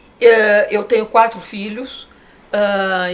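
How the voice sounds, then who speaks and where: A woman at a medium pitch, her intonation fairly even, over noticeable background noise. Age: 60s. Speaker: design association president. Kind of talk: TV interview. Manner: hesitant, many fillers.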